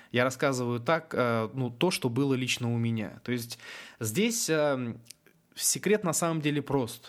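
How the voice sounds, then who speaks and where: A man with a medium pitch and ordinary pitch variation speaks at a fairly slow pace. Long pauses come often. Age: 20s. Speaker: internet entrepreneur. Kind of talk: webinar talk. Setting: online webinar.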